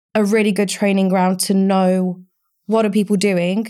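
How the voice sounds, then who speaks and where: A woman speaks with a dark, mellow tone at a medium pitch, in an Essex accent. Her intonation is flat and monotone, and the recording is very clean with a silent background. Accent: southern English (Essex). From Essex, England (Romania until age seven). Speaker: recruitment business owner. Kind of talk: casual interview.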